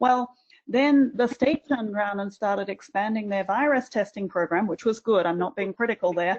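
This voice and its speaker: An Australian accent with ordinary pitch variation against a quiet background. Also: woman. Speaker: university administrator. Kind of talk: webinar panel discussion.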